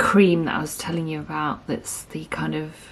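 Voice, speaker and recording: Quiet and at a fairly slow pace, a woman speaks. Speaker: artist. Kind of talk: tutorial. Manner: quiet, absorbed; hesitant, filler-heavy.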